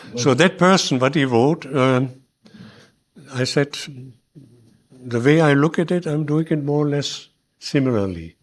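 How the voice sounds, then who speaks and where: A man with a German accent speaks at a fairly slow pace in a fairly high pitch, his intonation lively. The recording is very clean, with a silent background. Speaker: early community settler. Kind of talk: public talk interview. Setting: hall with audience. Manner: halting.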